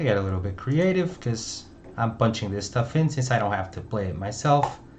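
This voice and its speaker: In audible room echo, a man with a Portuguese accent talks at a moderate pace using lively intonation. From Portugal. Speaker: music producer streaming a remix session. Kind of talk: live stream commentary while producing music. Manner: casual.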